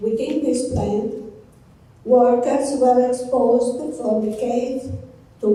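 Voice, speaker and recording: A very slow voice in an Italian accent, ordinary pitch variation, audible room echo and noticeable background noise. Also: woman. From Italy, Piedmont (Casale Monferrato). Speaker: physician, palliative care oncologist. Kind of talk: conference talk. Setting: conference stage with audience. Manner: reading prepared text.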